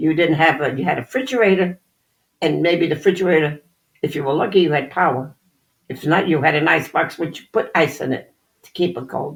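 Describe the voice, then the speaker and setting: The delivery moves at a fairly quick pace with ordinary pitch variation. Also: woman, very deep, low pitch for a woman. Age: 80s+. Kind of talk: interview answer.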